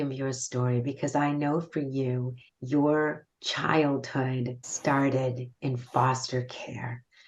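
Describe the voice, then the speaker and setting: A woman's very deep, low-pitched voice at a very slow pace. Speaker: podcast host. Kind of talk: interview.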